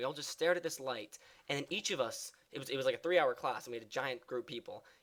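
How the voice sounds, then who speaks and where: A man speaks with a fairly high pitch. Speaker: gaming youtuber and actor. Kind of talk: casual let's play commentary. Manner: halting, many fillers.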